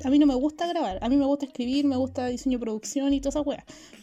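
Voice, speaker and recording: A woman with a Chilean accent speaks very fast in a high voice. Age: 20s. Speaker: film student. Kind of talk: casual chat.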